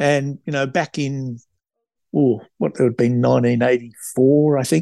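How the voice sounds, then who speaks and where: A man with an Australian accent has a dark, mellow tone. The sound is dry and close with no echo, and the background is quiet. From Australia, New South Wales. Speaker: travel company founder. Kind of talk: interview. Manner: casual, many fillers.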